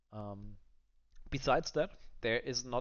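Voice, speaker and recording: A man talks with a non-native accent. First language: not English. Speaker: gaming content creator. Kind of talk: gameplay review commentary. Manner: halting, many fillers.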